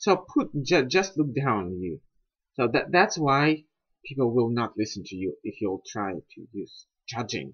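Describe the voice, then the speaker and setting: Somewhat breathy male speech with very wide pitch swings and big swings in loudness. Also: medium pitch for a man. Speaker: TOEFL test candidate practicing speaking. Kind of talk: casual talk to camera, speaking practice.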